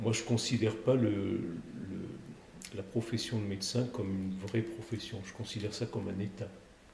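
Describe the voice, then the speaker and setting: Amid noticeable background noise and audible room echo, a man talks at a moderate pace in a fairly low pitch with monotone, flat intonation. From Provence, southern France. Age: 60s. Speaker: cardiac surgeon. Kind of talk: podcast interview. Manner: hesitant, with frequent fillers and repetitions.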